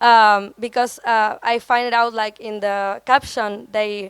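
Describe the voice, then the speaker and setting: A woman's fairly high voice in monotone, flat intonation. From Argentina. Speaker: photographer, visual artist. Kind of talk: panel talk presenting own project. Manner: halting, many fillers; slow.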